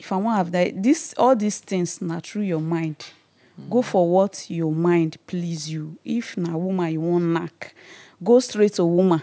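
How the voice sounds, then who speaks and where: Here the speaker is a woman. Her voice sits fairly low, with a dark, mellow tone. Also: ordinary pitch variation, fairly slow pace, quiet background. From Nigeria. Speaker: intersex interviewee; interviewee. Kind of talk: personal testimony. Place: studio. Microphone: studio mic.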